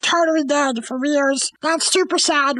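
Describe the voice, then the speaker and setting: A woman speaks in an animated, playful tone with ordinary pitch variation. Her pace is fairly slow. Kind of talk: stand-up comedy routine. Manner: animated, playful storyteller doing goofy voices.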